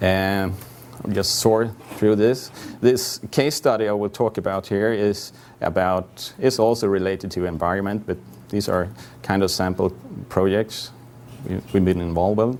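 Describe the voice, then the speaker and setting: Amid light background noise, a man with a Swedish accent speaks at a moderate pace and fairly low pitch, with fairly even intonation and long, frequent pauses. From Sweden. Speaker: GIS consultant; conference presenter. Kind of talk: conference presentation. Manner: halting. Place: hall.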